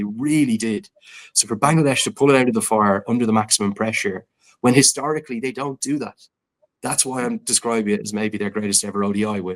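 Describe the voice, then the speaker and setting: Speaking very fast with an Irish accent, a man uses a fairly low pitch and fairly even intonation. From Ireland. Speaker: cricket commentator. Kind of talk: casual chat.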